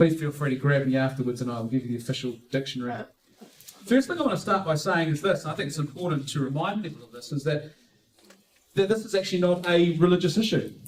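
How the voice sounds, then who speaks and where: Very fast and full of lively intonation, a man with a New Zealand accent speaks at a fairly high pitch. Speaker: pro-life speaker. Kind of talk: conference talk. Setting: room with live audience. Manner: halting with fillers and repetitions.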